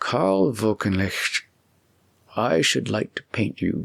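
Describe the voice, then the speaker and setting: Recorded dry and close with no echo, a man with a fairly low voice speaks fairly slowly with lively intonation. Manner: slow, thoughtful.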